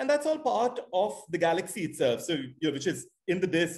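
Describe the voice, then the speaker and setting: Lively intonation at a fairly quick pace. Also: man. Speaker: astronomer, professor. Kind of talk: lecture. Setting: video call. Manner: fast; hesitant, many fillers.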